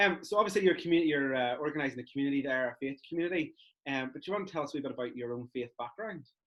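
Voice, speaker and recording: A man in a Belfast accent speaks at a very fast pace. His pitch varies in an ordinary way. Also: fairly high pitch for a man. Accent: Belfast Northern Irish. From Northern Ireland, East Belfast. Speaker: youth church interviewer. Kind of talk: casual interview.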